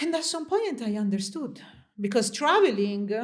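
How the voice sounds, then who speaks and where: In a room with audible echo, a woman with a fairly high pitch speaks with very wide pitch swings. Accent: Italian. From Italy. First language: Italian. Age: 30s. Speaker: interview guest. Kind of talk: interview conversation.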